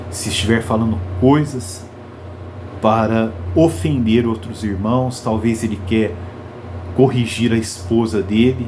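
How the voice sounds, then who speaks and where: With long, frequent pauses, a man speaks very slowly at a medium pitch and ordinary pitch variation, amid audible room echo and noticeable background noise. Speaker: preacher. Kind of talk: sermon. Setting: live stream. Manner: slow, with pauses.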